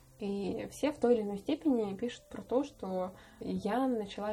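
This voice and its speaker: Her voice fairly high and her intonation fairly even, a woman talks with an unremarkable speaking voice. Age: 20s. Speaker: podcast host. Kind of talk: casual chat.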